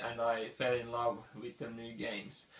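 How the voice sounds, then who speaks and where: Over noticeable background noise, a man with a non-native accent speaks at a moderate pace. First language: not English. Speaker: board game reviewer. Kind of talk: casual channel introduction.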